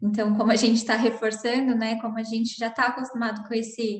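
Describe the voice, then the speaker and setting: Somewhat breathy, the voice moves at a moderate pace with monotone, flat intonation. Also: woman. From São Paulo, Brazil. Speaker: psychoanalyst. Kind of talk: online panel discussion. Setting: online video call.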